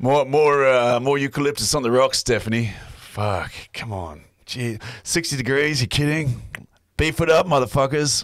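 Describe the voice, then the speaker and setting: A man uses a put-on, gruff character voice at medium pitch. He talks at a moderate pace on a very clean recording with a silent background. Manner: gruff, confident.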